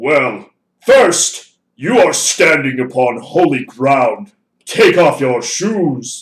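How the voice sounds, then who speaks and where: A man adopts a put-on character voice at a fairly high pitch. He delivers it at a very slow pace. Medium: read story. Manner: solemn, commanding.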